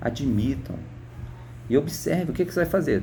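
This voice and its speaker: A man with a dark, mellow tone and vocal fry speaks at a fairly quick pace. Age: 60s. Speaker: retired teacher. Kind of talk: political opinion monologue. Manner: halting, repeats words.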